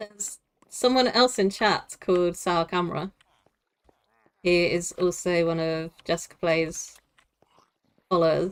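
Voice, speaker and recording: A woman with a Southeast English accent speaks at a fairly low pitch and a fairly slow pace. Her pitch variation is ordinary, with long, frequent pauses. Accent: Southeast England. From Southeast England. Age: 40s. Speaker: gaming streamer. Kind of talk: live stream chat while gaming. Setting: live stream.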